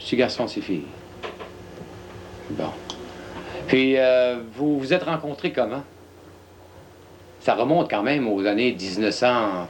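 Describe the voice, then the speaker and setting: A man speaking very slowly with lively intonation, big swings in loudness and long, frequent pauses, over noticeable background noise. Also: medium pitch for a man. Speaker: TV host. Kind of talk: interview.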